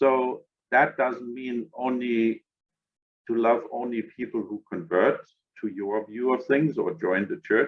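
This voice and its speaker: With a German accent, a man speaks very slowly at a medium pitch and with ordinary pitch variation. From Germany. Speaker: interfaith organization director. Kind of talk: podcast interview.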